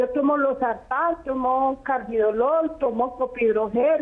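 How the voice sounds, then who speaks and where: Speaking at a very slow pace, a woman keeps her intonation fairly even. Her pitch is high. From Colombia, Risaralda. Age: 70s. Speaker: caller. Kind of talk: phone-in question. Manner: halting.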